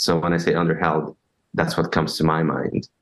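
A man is speaking. His pitch is very deep and low. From Brazil. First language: Portuguese. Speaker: leadership trainer. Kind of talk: interview. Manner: halting.

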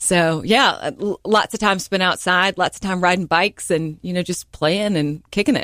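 With an American accent and a plain, everyday voice, a woman talks at a moderate pace and medium pitch with ordinary pitch variation and hardly any pauses, the sound dry and close with no echo on a very clean recording with a silent background. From North Carolina, Hickory. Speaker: entrepreneur and podcast host. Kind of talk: radio interview. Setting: radio studio.

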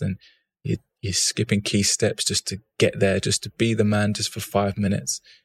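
An ordinary speaking voice from a man, fairly low in pitch, with fairly even intonation, a moderate pace, and a dry, close sound with no echo. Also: very clean recording, silent background. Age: 30s. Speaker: fashion entrepreneur and former footballer. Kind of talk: casual interview.

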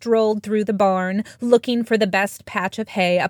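This is reading aloud in a natural voice. The intonation is fairly even.

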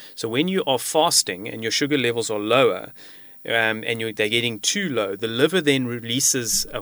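This man has a plain, everyday voice at a medium pitch, with ordinary pitch variation. He speaks at a moderate pace on a very clean recording with a silent background. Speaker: homeopath and medical researcher. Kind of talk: expert interview explanation. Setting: studio.

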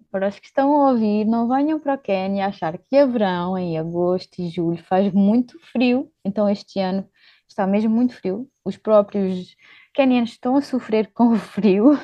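A woman with a plain, everyday voice talks at a moderate pace and medium pitch, with ordinary pitch variation. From Portugal, born in Luxembourg. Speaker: volunteer and social entrepreneur. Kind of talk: interview.

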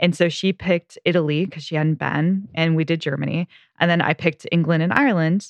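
At a fairly quick pace, a woman with an American accent keeps fairly even intonation in a dry, close sound with no echo. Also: fairly low pitch for a woman. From US Pacific Northwest (South Puget Sound, Washington). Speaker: podcast co-host. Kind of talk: casual chat.

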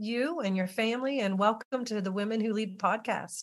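Set against a quiet background, a woman with an American accent uses an ordinary speaking voice, a fairly high pitch and ordinary pitch variation. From Western Maryland. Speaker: podcast host. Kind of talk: interview conversation.

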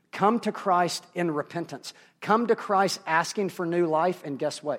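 A man with a high pitch speaks at a moderate pace with ordinary pitch variation and a Southern US accent. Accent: Southern American. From US South. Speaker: pastor. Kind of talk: sermon.

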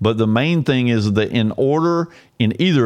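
In an American accent, a man at medium pitch talks at a moderate pace with ordinary pitch variation, an ordinary speaking voice. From Georgia, US South. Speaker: constitutional commentator. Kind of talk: solo explanatory talk with screen walkthrough. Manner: casual, with frequent repetitions and fillers.

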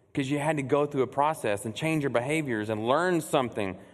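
Against a quiet background, a man with an American accent speaks in an ordinary speaking voice, fairly high in pitch, with lively intonation. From Texas, Burleson near Fort Worth. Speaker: church executive director preaching. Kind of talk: sermon. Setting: church stage with congregation.

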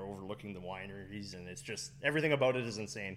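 A man's fairly low voice with a Canadian accent, very fast in pace with ordinary pitch variation, in audible room echo. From Fort McMurray, Alberta, Canada. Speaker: cider business owner. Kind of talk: casual interview. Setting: on location at a cider business.

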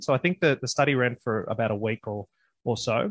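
In a plain, everyday voice of medium pitch, a man speaks at a fairly quick pace, recorded dry and close with no echo against a quiet background. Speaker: co-host. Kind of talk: casual interview chat.

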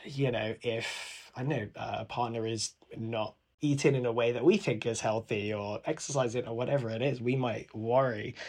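Someone with a London accent talks at a moderate pace with fairly even intonation over a quiet background. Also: man, medium pitch for a man. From London, England. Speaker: podcast guest, former startup employee. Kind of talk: casual chat.

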